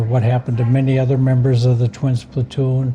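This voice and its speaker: Over noticeable background noise, a man with an American accent talks at a medium pitch in a monotone, flat intonation. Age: 70s. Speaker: war veteran and author. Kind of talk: interview. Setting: coffee shop.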